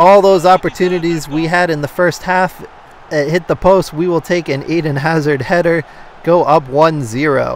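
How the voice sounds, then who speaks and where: Noticeable background noise sits behind a man speaking at a moderate pace. His pitch is high. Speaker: gaming YouTuber. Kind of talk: live play-by-play commentary over FIFA gameplay. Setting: video game recording voiceover. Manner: upbeat, friendly, conversational.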